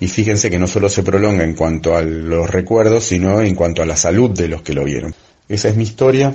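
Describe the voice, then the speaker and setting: A man with an Argentine accent talks at a fairly quick pace in a very deep, low pitch with ordinary pitch variation. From Argentina. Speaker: travelling magician, former systems engineer. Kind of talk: recorded monologue.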